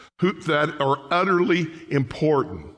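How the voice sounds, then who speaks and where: Speaking at a very slow pace, a man is heard over a quiet background. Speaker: pastor. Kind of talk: sermon. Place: church. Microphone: podium.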